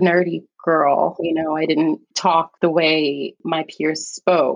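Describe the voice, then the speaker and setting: A woman with an American accent speaks in a plain, everyday voice, her fairly low pitch carried on a fairly even intonation. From New York City, the Bronx. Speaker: veterinary oncologist. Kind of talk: casual interview chat.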